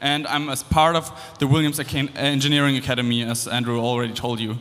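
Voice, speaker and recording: A man with a German accent talks at a fairly quick pace over noticeable background noise. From Germany. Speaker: engineering student and former competitor. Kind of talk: presentation to audience. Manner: casual, with fillers and restarts.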